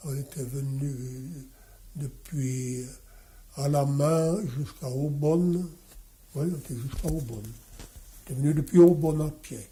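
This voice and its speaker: At a very slow pace with long, frequent pauses, a man speaks in a fairly high, somewhat breathy voice with a dark, mellow tone and fairly even intonation. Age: 80s+. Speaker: watchmaker. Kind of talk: interview answer.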